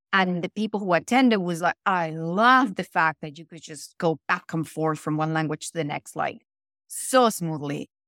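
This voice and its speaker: With a Spanish accent, a woman speaks at a fairly low pitch and a moderate pace, her pitch varying in an ordinary way while her loudness swings widely, in a dry, close sound with no echo on a very clean recording against a silent background. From Venezuela. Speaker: actor and voiceover artist. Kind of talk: casual interview.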